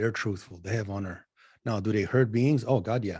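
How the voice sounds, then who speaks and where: A man with a fairly low pitch and a dark, mellow tone speaks at a fairly quick pace with fairly even intonation, in a very clean recording with a silent background. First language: not English (English is third language). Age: 40s. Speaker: spiritual channeler. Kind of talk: casual interview chat.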